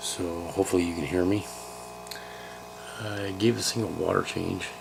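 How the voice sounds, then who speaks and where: A man speaks quietly in a very deep, low voice at a moderate pace, with ordinary pitch variation. Noticeable background noise runs underneath. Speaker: aquarium hobbyist vlogger. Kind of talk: casual video blog. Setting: at home. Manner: quiet, hushed.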